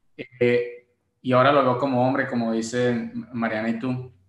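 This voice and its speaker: Audible room echo surrounds a man speaking at a moderate pace. His medium-pitched voice stays monotone and flat. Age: 20s. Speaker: podcast co-host. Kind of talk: casual chat.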